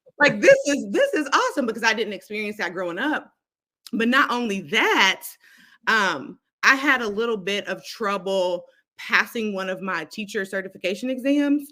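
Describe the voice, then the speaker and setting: At a moderate pace, a loud woman speaks with a bright, sharp tone and lively intonation on a very clean recording with a silent background. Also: fairly high pitch for a woman. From Kentucky (Lexington). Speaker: instructional coach, educator. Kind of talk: casual interview.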